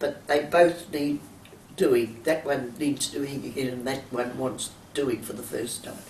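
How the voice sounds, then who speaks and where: A woman with an Australian accent speaks at a fairly slow pace and a very deep, low pitch, with ordinary pitch variation. Noticeable background noise runs underneath. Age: 80s+. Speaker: champion masters swimmer. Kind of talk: interview. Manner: halting.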